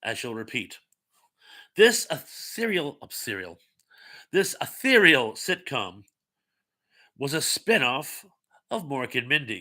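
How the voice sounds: A man at medium pitch with a bright, sharp tone, big pitch swings, a slow pace and long, frequent pauses.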